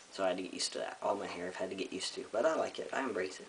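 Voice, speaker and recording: A man rattles off his words at a very fast pace while noticeable background noise sits behind him. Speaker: vlogger. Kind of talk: personal video update. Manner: casual, frequent um fillers.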